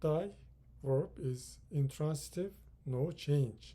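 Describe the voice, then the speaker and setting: Somewhat breathy and dark, mellow in tone, a man with a Turkish accent speaks very slowly at a fairly high pitch. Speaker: English teacher. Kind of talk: lecture.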